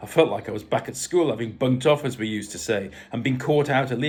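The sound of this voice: In an unforced reading voice, the pitch varies in an ordinary way.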